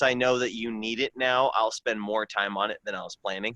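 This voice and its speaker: A man's medium-pitched voice, bright and sharp in tone, moves at a moderate pace with fairly even intonation in a dry, close sound with no echo. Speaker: martial arts instructor. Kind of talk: casual chat. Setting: video call, outdoors. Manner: loud when teaching.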